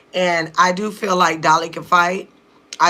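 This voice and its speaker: The speaker's intonation is monotone and flat. Noticeable background noise runs underneath. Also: woman. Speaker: reality TV reaction youtuber. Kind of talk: casual reaction commentary.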